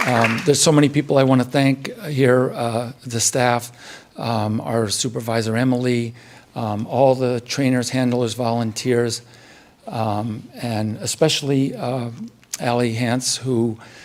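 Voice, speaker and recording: Monotone, flat intonation in an American accent at a fairly slow pace, with noticeable background noise. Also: man, medium pitch for a man. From central eastern Pennsylvania. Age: 60s. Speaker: retired research chemist, guide dog handler. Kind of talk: graduation speech. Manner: halting, many fillers.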